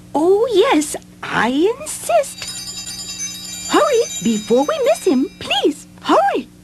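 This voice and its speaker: A put-on character voice speaks at an extremely high pitch and a very slow pace. Long, frequent pauses break it up, with faint music in the background. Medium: audio drama. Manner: gentle, polite.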